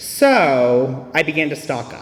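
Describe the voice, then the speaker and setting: A man speaks at a medium pitch with an American accent. Music plays in the background. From US South. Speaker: AA speaker. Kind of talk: testimony.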